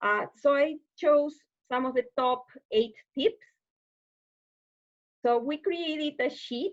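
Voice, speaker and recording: The speaker talks at a very slow pace in a Spanish accent, with long, frequent pauses. The sound is dry and close, without echo. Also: woman, high pitch for a woman. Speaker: webinar presenter on deafblind services. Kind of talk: online presentation. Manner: hesitant with filler sounds.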